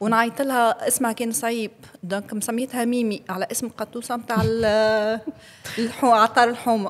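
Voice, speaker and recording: Speaking at a moderate pace with fairly even intonation, a woman with a fairly high pitch has an unremarkable speaking voice. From Tunisia, Kasserine. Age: 40s. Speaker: podcast guest. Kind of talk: interview conversation.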